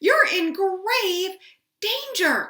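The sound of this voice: A woman speaks very slowly in a put-on character voice, her pitch extremely high. The tone is bright and sharp, with big pitch swings.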